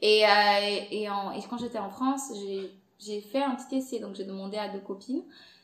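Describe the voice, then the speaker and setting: The loudness swings widely, with noticeable background noise. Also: woman, medium pitch for a woman, ordinary pitch variation, moderate pace. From Angola. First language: Portuguese (speaking French). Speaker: content creator and podcast host. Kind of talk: casual interview chat.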